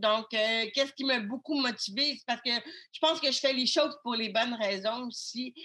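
Moderate pace, ordinary pitch variation. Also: woman. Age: 30s. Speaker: web communication consultant and author. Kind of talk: interview.

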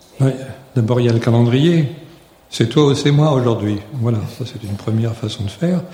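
With audible room echo and noticeable background noise, the speech has ordinary pitch variation and long, frequent pauses. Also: man, medium pitch for a man, moderate pace. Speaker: retired teacher. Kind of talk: live interview. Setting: stage with audience.

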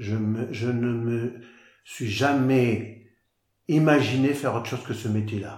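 A man whispers nothing but speaks very slowly, somewhat breathy, at medium pitch. Long, frequent pauses break his speech amid audible room echo. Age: 60s. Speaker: farmer. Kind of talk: interview. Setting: on his farm. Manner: halting, frequent repetitions.

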